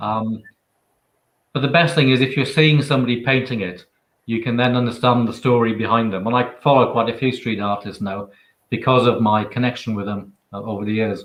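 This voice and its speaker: A man with a Welsh accent, at a fairly quick pace, with ordinary pitch variation. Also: medium pitch for a man. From Wales. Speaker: author and photographer. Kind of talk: interview answer.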